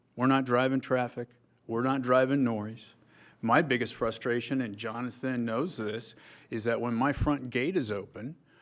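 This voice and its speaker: The recording is very clean, with a silent background. A man with a normal speaking voice talks at a moderate pace and medium pitch, his intonation fairly even. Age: 60s. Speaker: petitioner at zoning hearing, farm owner. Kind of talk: public hearing testimony. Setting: town board meeting.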